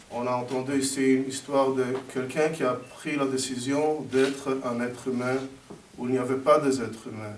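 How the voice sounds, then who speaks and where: A man speaks at a medium pitch in a flat monotone, with noticeable background noise and audible room echo. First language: not French (speaking French). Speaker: history teacher. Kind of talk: ceremony speech. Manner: halting.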